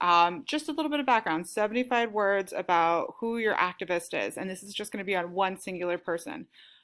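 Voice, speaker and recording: A woman speaks with a normal speaking voice at a medium pitch and a fairly quick pace. Her pitch varies in an ordinary way, and the recording is very clean with a silent background. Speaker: teacher. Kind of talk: lesson.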